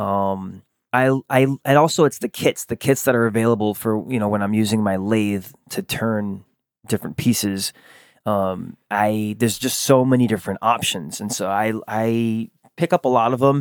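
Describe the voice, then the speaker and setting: This man has a plain, everyday voice, a medium pitch and an American accent. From Rhode Island, US. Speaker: artist and small business owner. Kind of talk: interview. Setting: at home with dog present.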